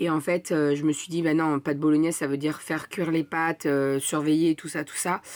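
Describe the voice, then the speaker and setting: Her pitch is very deep and low for a woman. She talks at a moderate pace with fairly even intonation. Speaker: family vlogger. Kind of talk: casual vlog talk. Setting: at home in front of the computer. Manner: hesitant, many fillers.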